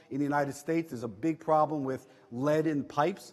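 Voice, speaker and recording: A man with a New York accent, fairly high pitch, and a fairly quick pace. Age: 60s. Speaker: entrepreneur. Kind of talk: talk to audience. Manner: animated.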